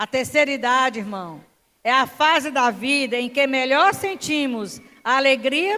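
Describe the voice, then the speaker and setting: A woman projects her raised voice at a very slow pace, high in pitch with a bright, sharp tone. Her intonation is lively. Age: 60s. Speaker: preacher. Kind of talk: sermon.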